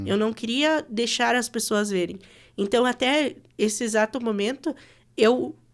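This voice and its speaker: A woman with an unremarkable speaking voice, fairly high in pitch with ordinary pitch variation, at a fairly slow pace. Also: very clean recording, silent background. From West of Santa Catarina, Brazil. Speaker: radio announcer. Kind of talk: podcast interview answer.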